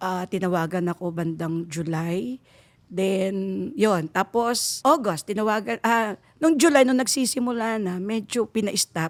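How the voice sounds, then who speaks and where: Lively intonation from a woman at a fairly slow pace, in a dry, close sound with no echo and a very clean recording with a silent background. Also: medium pitch for a woman. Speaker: teacher. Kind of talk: interview.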